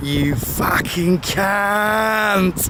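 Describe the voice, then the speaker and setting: Through loud background noise comes a put-on character voice at a middle pitch. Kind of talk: broad working-class London, dropped consonants.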